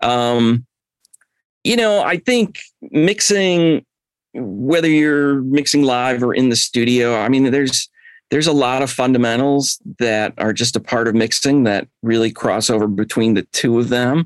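A man with an American accent and an unremarkable speaking voice talks at medium pitch and a fairly slow pace, with ordinary pitch variation. His loudness stays very even, and the sound is dry and close with no echo. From Chicago, US Midwest. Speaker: mix engineer. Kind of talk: casual interview chat.

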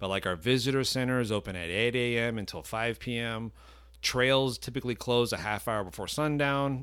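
In a very clean recording with a silent background, a man with an American accent and an unremarkable speaking voice talks at a moderate pace and medium pitch. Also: ordinary pitch variation. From Miami, Florida. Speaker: state park manager. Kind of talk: casual interview. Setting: on location at a state park.

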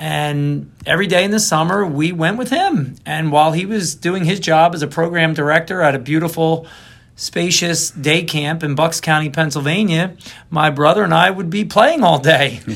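A man's fairly high voice with a Philadelphia accent. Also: ordinary pitch variation, moderate pace. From Philadelphia, northeast Philly. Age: 50s. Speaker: interviewee, athlete and kidney donor. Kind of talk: casual interview.

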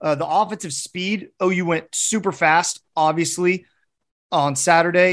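A man speaks with an animated tone and a fairly high pitch. The background is quiet. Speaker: podcast host. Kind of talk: casual sports podcast chat. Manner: animated, joking.

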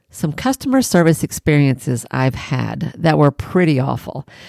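A woman with a Southern US accent speaks in an animated tone. The recording is very clean and dry, close-sounding with no echo and a silent background. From Tennessee. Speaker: podcast host, private practice business coach. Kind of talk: solo podcast monologue with storytelling. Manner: animated, laughing often.

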